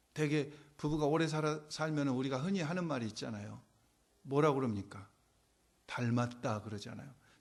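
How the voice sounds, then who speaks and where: Audible room echo surrounds a man with a fairly high pitch who talks at a fairly quick pace, with ordinary pitch variation and long, frequent pauses. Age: 60s. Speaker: pastor. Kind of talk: sermon. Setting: church. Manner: conversational.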